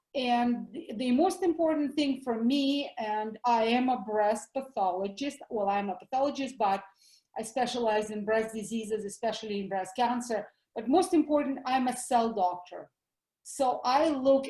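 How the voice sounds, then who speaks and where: In a Russian accent, a woman talks at a fairly slow pace. Her pitch is high, with a dark, mellow tone. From Russia (former USSR). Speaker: doctor, health educator. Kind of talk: interview.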